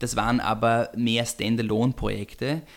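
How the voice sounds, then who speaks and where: An unremarkable speaking voice talks at a moderate pace. The recording is very clean, with a silent background. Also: man. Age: 30s. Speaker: family business executive. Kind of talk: interview. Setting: home kitchen.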